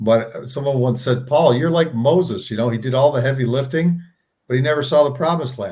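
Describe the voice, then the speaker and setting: The voice is somewhat breathy, with ordinary variation in pitch. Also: man. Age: 60s. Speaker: co-founder of a plant-based health organization. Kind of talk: interview conversation. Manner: halting with frequent repetitions.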